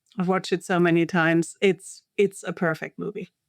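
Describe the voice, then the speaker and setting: A woman with a German accent speaks at a fairly quick pace and fairly low pitch, in a monotone with flat intonation. The recording is very clean and silent in the background, with a dry, close sound and no echo. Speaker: linguistics professor. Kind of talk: interview. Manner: hesitant, many fillers.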